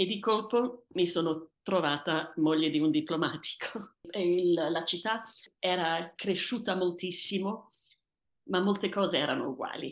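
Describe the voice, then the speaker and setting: At a fairly slow pace, a woman speaks with medium pitch and ordinary pitch variation. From Tanzania, to Italian parents. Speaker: author. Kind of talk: personal storytelling interview. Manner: hesitant, repeating words.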